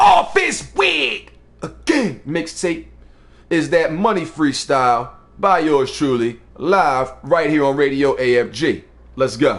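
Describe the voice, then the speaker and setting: Loud and animated, a man talks with lively intonation. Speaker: internet radio host and rapper. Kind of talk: live radio show monologue.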